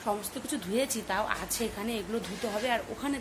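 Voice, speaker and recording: A woman's fairly high voice, varying in pitch in an ordinary way, is heard with noticeable background noise. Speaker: home vlogger. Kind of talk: vlog chat.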